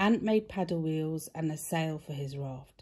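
A woman with a British accent speaks at a fairly slow pace, her pitch fairly low and her tone dark and mellow. Somewhat breathy, her intonation is lively against a quiet background. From Britain. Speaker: mother. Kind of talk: children's story read-aloud. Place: home room. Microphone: phone near.

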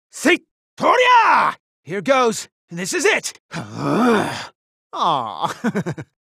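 The pace is very slow. A man delivers it in a put-on character voice. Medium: dub. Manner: energetic battle shouts, playful.

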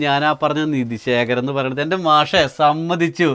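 This man has an ordinary speaking voice, pitched fairly high, with fairly even intonation. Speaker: vlogger. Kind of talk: casual interview vlog. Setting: inside an old house.

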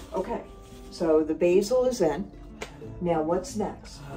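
Over clear music in the background, a woman speaks at a fairly slow pace. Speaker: vlog host. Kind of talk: casual vlog chat. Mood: light, cheerful. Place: kitchen. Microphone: camera far.

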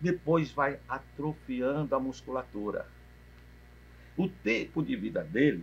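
A man with a fairly high pitch talks at a fairly slow pace, his voice carrying vocal fry. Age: 60s. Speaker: physical education professor. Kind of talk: interview. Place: cafe.

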